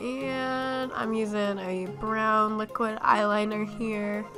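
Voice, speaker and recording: Music plays in the background as a woman speaks. Her pitch is fairly high, with ordinary variation. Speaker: makeup YouTuber. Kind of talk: casual makeup tutorial voiceover.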